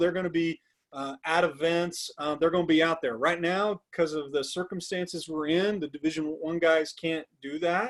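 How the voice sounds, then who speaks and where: This man's voice has a high pitch. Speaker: recruiting consultant, former college recruiting coordinator. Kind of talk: webinar presentation. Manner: fast.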